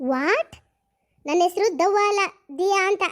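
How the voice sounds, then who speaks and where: In a cartoonish character voice, a woman speaks at an extremely high pitch. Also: ordinary pitch variation. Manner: uses English words.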